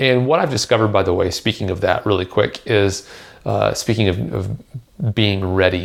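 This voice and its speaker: With vocal fry and a fairly low pitch, a man talks at a moderate pace, his loudness very even and his pitch varying in an ordinary way. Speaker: drummer and podcast host. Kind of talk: solo podcast advice talk. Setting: home kitchen. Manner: soft-spoken; hesitant with many fillers.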